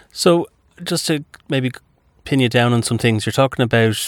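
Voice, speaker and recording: A man with an unremarkable speaking voice talks at medium pitch and a moderate pace. The sound is dry and close with no echo, on a very clean recording with a silent background. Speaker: radio host. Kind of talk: radio interview. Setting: studio.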